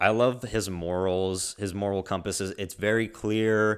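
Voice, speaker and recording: On a very clean recording with a silent background, a man speaks in an animated tone at a fairly low pitch. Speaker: anime reaction youtuber. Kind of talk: casual review monologue. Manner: quiet.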